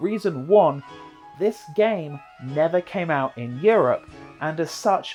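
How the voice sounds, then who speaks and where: Music plays in the background as a man with an English accent speaks at a very slow pace, using a high pitch, lively intonation and long, frequent pauses. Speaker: video narrator, game reviewer.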